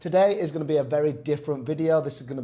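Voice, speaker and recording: His tone dark and mellow, a man speaks with ordinary pitch variation. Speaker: personal trainer. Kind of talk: casual talk to camera.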